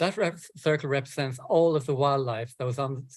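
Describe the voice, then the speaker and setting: A man's somewhat breathy voice at a medium pitch, with fairly even intonation and a moderate pace. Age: 60s. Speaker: environmental campaigner and author. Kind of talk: talk. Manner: halting.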